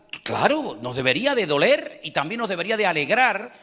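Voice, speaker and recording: Pitch swings very widely throughout this fairly slow delivery. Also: man. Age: 60s. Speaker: pastor. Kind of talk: sermon.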